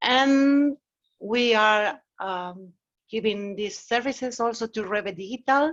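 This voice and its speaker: A woman speaks with a Mexican accent at a very slow pace. Her pitch is fairly high, with ordinary variation. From Mexico. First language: Spanish. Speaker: agile consultant. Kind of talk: meetup talk. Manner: casual, conversational.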